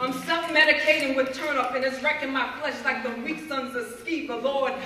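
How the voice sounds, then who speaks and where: A raised, projected voice comes at a moderate pace. There is audible room echo and light background noise. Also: woman. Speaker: spoken word poet. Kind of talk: spoken word poetry performance. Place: hall. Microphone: camera far.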